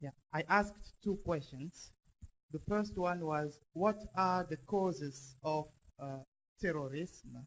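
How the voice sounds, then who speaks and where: Speech comes at a very slow pace in a French accent. Pitch variation is ordinary. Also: man, fairly high pitch for a man. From Congo. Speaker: audience member. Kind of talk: audience question at public meeting. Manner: halting.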